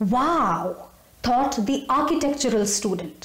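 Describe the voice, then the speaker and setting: Her pitch swinging very widely, a woman speaks at a fairly slow pace amid audible room echo. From India. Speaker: storyteller. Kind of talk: storytelling narration. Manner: animated. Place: home room. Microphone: phone near.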